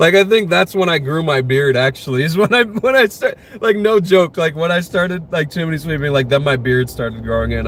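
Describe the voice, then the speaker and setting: With an American accent, a man speaks at a fairly quick pace and a fairly high pitch. Noticeable background noise runs behind him. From United States. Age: 20s. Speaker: streamer. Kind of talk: casual chat. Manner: casual, filler-heavy.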